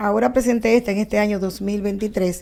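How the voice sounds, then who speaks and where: A woman speaks in a normal speaking voice, fairly high-pitched, with fairly even intonation. It is a very clean recording with a silent background. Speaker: law professor and researcher. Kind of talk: TV interview answer.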